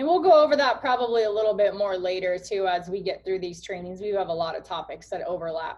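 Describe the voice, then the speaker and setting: Speaking fairly quickly, a woman with a medium pitch uses lively intonation. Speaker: coaching team leader hosting training call. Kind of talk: online team training call. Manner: fast.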